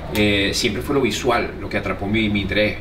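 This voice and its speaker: There is noticeable background noise. Over it, a man talks at a moderate pace. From Venezuela. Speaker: comedian and radio host. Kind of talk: interview answer. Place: bar. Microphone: phone near.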